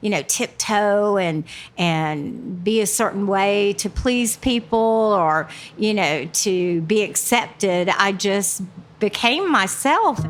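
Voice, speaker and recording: Recorded very cleanly against a silent background, a woman with a Southern US accent speaks very slowly with ordinary pitch variation. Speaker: stand-up comedian, retired teacher. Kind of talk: interview answer.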